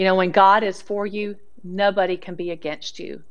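A woman speaks with a Southern US accent. She keeps a moderate pace. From US South. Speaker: Bible teacher. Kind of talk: sermon. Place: studio.

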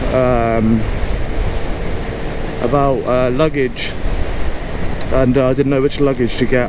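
Noticeable background noise surrounds speech at a moderate pace, with a dry sound and no echo. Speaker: motorbike commuter vlogger. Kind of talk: casual vlog chat. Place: motorbike. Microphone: helmet.

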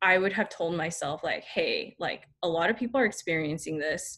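At a moderate pace, a woman with an American accent speaks in a bright, sharp tone. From Northern California, Bay Area; Northern California. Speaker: dental student; presenter. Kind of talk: student lecture presentation. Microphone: webcam.

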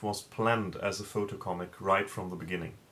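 A man with a fairly low pitch talks at a moderate pace. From Germany. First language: German. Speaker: comic creator. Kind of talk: video interview answer. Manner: halting, with filler words. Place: home room. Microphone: webcam.

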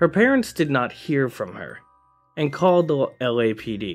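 Over music in the background, a man speaks at a moderate pace with lively intonation. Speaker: channel narrator. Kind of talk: true-crime storytelling narration.

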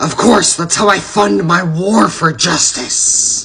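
The voice is high for a man. He is doing a put-on character voice. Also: fairly slow pace. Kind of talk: comic overacting. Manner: shouting, intense, indignant.

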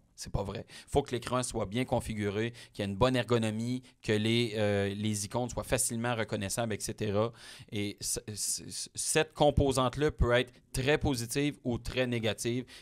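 In a quiet background, a man speaks at a fairly slow pace. His intonation stays fairly even. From Quebec, Témiscamingue; Quebec. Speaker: automotive journalist. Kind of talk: interview. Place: studio. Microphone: studio mic.

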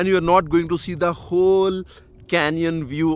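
The sound is dry with no echo as a man talks at a moderate pace. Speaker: travel vlogger. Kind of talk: casual vlog chat. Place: open country. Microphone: phone near.

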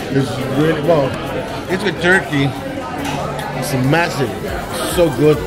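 Crowd noise fills the background as a man talks at a fairly slow pace. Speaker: travel vlogger. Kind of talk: casual vlog chat. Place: cafe. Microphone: phone near.

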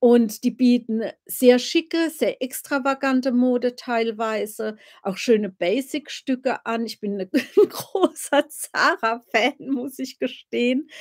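A woman's high, relaxed voice at a very slow pace, with ordinary pitch variation, big swings in loudness and a quiet background. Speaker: royal-family commentator, live streamer. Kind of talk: casual live stream chat about royals. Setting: live stream, home. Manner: chatty, relaxed, informal. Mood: cheerful, chatty. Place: home room. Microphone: webcam.

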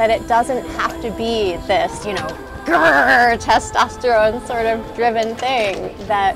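Over clear music in the background, a woman speaks at a fairly slow pace with a dry sound and no echo. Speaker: sea kayak coach. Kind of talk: interview answer. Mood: warm, upbeat, encouraging. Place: waterside. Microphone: lapel.

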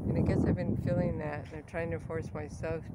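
Loud background noise surrounds a woman speaking. The sound itself is dry, with no echo. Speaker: artist vlogger. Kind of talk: casual vlog chat. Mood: low, self-doubting. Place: open country. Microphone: phone near.

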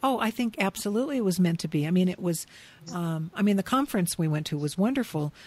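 A woman speaks at a very fast pace in a somewhat breathy voice of medium pitch. The recording is very clean, with a silent background. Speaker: podcast host. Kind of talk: interview conversation. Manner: enthusiastic.

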